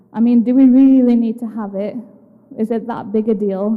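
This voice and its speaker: Noticeable background noise and audible room echo surround a woman with a fairly high pitch. She talks at a fairly quick pace in a monotone, flat intonation. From UK. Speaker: psychiatrist. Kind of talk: educational talk. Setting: assembly hall with audience.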